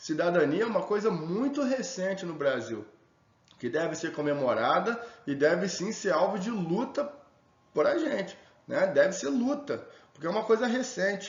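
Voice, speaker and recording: A man's voice swings very widely in pitch. Room echo and background noise can be heard. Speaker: sociology teacher. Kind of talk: lecture. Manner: fast; casual.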